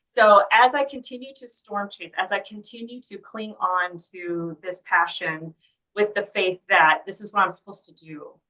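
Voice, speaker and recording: With an American accent, a woman speaks at a moderate pace in a bright, sharp tone, with ordinary pitch variation and big swings in loudness. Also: medium pitch for a woman. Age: 30s. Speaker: storm chaser. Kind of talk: interview testimony.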